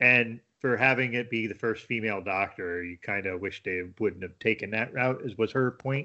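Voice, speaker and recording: At a moderate pace and with hardly any pauses, a man uses a normal speaking voice at medium pitch. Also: ordinary pitch variation. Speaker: IT worker and beer blogger. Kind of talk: casual interview chat. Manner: relaxed, conversational.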